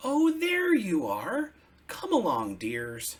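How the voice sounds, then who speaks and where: A man puts on a character voice at an extremely high pitch. He speaks at a very slow pace. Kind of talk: bedtime story. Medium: read story. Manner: warm, fussing.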